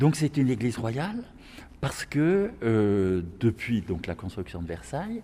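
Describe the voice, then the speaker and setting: Vocal fry runs through this man's dark, mellow tone as he speaks at a fairly slow pace. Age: 70s. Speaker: retired parish priest. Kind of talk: guided tour. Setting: on site in a church. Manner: halting.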